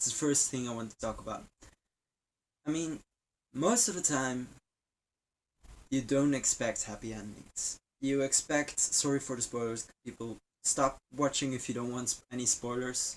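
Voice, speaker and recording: With long, frequent pauses, a man speaks at a moderate pace and medium pitch, his pitch varying in an ordinary way. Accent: non-native. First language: not English. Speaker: game vlogger. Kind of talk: casual video review. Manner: halting.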